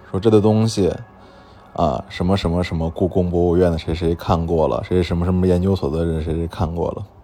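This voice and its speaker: With music in the background, a man with a very deep, low pitch speaks at a fairly quick pace and with fairly even intonation. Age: 30s. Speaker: antique dealer and podcast host. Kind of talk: storytelling monologue. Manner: frequent fillers and hesitations.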